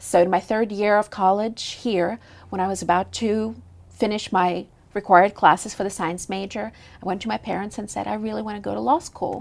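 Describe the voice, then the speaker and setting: A woman with a Russian accent at a fairly quick pace, on a very clean recording with a silent background. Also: medium pitch for a woman, fairly even intonation. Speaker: lawyer and judicial candidate. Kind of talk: TV interview.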